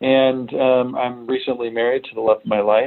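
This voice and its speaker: Here a man speaks with a General American accent at a medium pitch. His pace is moderate. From United States, moved around. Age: 40s. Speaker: remote tech product director. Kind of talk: podcast interview. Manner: hesitant, many fillers.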